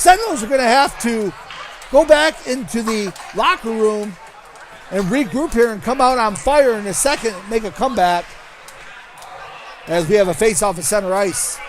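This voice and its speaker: Over noticeable background noise, a high-pitched man with an American accent speaks at a moderate pace with lively intonation, big swings in loudness and long, frequent pauses. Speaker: hockey play-by-play announcer. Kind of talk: live commentary. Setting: ice rink. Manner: animated.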